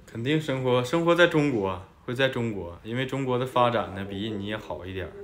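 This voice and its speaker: Audible room echo and noticeable background noise fill this clip. A man speaks at medium pitch and a moderate pace, with ordinary pitch variation. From China. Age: 20s. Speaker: host's husband, student. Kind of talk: casual Q&A chat.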